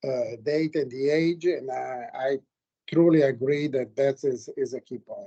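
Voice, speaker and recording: Here a man talks at a fairly slow pace in a fairly high pitch with a dark, mellow tone. The sound is dry and close, with no echo. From Italy. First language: Italian. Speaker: geologist, committee member. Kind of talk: academic Q&A feedback.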